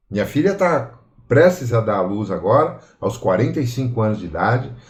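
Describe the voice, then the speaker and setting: A man with a dark, mellow tone and very wide pitch swings. He talks at a fairly slow pace, with audible room echo. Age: 60s. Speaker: study group participant. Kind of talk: personal testimony.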